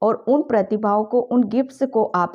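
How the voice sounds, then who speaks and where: Against a quiet background, a woman talks in a fairly high voice with a dark, mellow tone. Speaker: tarot reader. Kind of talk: tarot reading video. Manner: hesitant, many fillers.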